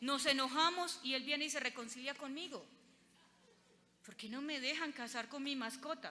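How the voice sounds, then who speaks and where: In a paisa accent, a woman uses a high, raised, projected voice with lively intonation at a fairly slow pace, with audible room echo. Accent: paisa Colombian Spanish. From Colombia, Antioquia (paisa). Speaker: lawyer and lecturer. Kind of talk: conference lecture.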